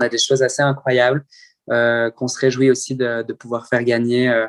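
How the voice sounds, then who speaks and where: The sound is dry and close with no echo as a man talks at a fairly quick pace, his medium-pitched voice monotone and flat. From French-speaking Switzerland (Morges). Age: 20s. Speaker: open-water swimmer. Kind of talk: interview. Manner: halting.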